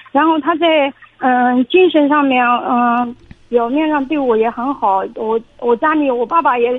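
A woman with a high pitch speaks at a fairly slow pace with ordinary pitch variation, noticeable background noise behind her. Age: 30s. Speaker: caller. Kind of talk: phone-in consultation. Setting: phone call. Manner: halting. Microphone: echo on the line.

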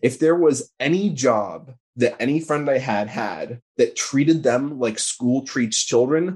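A man with a normal speaking voice talks at a fairly slow pace, his pitch varying an ordinary amount. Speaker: political organizer. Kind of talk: casual interview conversation.

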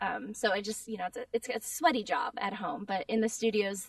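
A woman talks at a fairly quick pace with a fairly high pitch. The sound is dry and close, with no echo. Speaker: voice actor. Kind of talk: casual interview chat. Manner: animated, frequent laughs and fillers.

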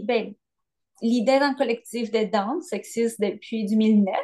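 With a Spanish accent, a woman speaks at a fairly high pitch in a dark, mellow tone with fairly even intonation. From Colombia. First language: Spanish (speaking French). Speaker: dancer and choreographer. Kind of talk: casual interview.

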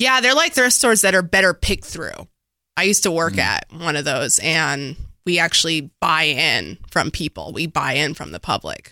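A woman speaks at a moderate pace in a fairly low pitch, her tone bright and sharp with vocal fry and very wide pitch swings. The recording is very clean, with a silent background. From Dallas, Texas (Oak Cliff). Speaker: event organizer. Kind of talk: casual chat.

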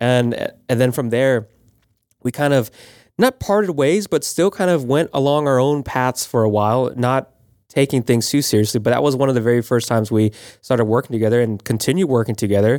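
A normal speaking voice from a man with an American accent, medium-pitched, at a fairly quick pace with ordinary pitch variation and very even loudness, on a very clean recording with a silent background and a dry, close sound with no echo. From Florida, Panama City. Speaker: video producer and podcast co-host. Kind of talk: casual chat.

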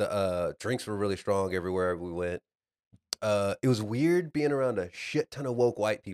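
An ordinary speaking voice with an American accent, recorded dry and close with no echo. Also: man, fairly low pitch for a man, moderate pace. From Texas, Dallas. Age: 30s. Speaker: podcast co-host. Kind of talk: casual chat.

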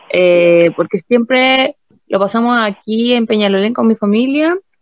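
A woman speaks in a Chilean accent, fairly high in pitch and lively in intonation. Her moderate pace comes through with a dry, close sound and no echo. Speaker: podcast co-host. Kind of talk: casual chat.

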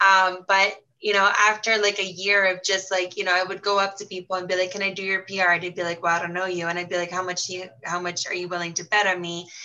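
A woman at a very fast pace, with hardly any pauses, monotone, flat intonation and noticeable background noise. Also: medium pitch for a woman. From Brazil. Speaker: fashion platform co-founder. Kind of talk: interview.

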